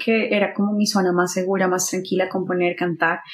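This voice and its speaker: Over noticeable background noise, a woman speaks at a fairly quick pace in a medium pitch with monotone, flat intonation. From Colombia, Bucaramanga. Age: 30s. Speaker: singer-songwriter and radio announcer. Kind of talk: casual interview chat.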